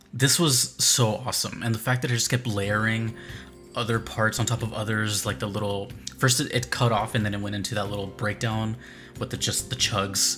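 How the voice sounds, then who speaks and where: Clear music plays in the background as the speaker goes at a moderate pace with fairly even intonation. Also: man. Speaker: music reaction streamer. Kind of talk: commentary. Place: home room.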